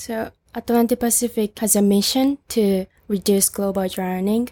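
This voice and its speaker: A woman with a Japanese accent at a fairly slow pace, medium pitch and fairly even intonation, her tone dark and mellow, the sound dry and close with no echo, on a very clean recording with a silent background. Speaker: student volunteer for an ocean charity. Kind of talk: interview. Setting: recorded on a roof, in person.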